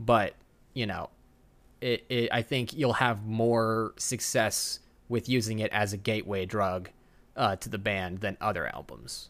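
A man speaks with an American accent in an unremarkable speaking voice. His pitch is fairly low, his intonation fairly even, and his pace fairly slow. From Texas. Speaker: podcast host, filmmaker. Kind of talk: casual chat.

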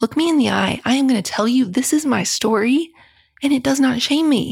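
Woman's somewhat breathy voice, fairly quick pace and ordinary pitch variation, on a very clean recording with a silent background. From US South, rural West Virginia. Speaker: author. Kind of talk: interview.

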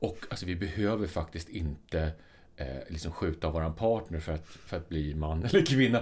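This man has a very deep, low pitch and a somewhat breathy sound. He talks at a moderate pace with ordinary pitch variation. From Sweden. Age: 50s. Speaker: podcast co-host. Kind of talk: casual chat.

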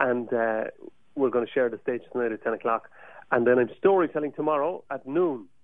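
Long, frequent pauses break up the speech of a man with a medium pitch. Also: ordinary pitch variation, fairly quick pace. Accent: Cork. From Ireland, Cork. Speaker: Irish musician. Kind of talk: radio interview. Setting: studio. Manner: animated.

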